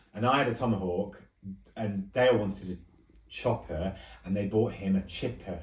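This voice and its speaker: At a moderate pace, a man talks in a fairly low pitch with a somewhat breathy voice. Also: ordinary pitch variation. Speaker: host's relative, reminiscing. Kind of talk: casual chat. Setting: secretly recorded at home.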